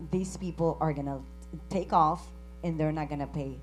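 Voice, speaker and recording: A woman speaks with a Spanish accent in audible room echo. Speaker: credit union CEO. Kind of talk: conference panel discussion.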